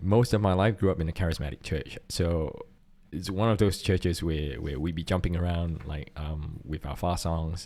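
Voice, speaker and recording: With a Singaporean accent, a man speaks at a moderate pace in a very deep, low pitch, using a dark, mellow tone and fairly even intonation. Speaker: podcast co-host and church worship volunteer. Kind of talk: casual chat.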